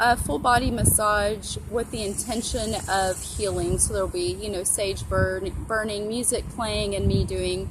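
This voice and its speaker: Soft-spoken and fairly slow, a woman talks with hardly any pauses amid audible room echo. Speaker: tarot reader and astrologer. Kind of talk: tarot reading / casual talk to camera. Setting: outdoors.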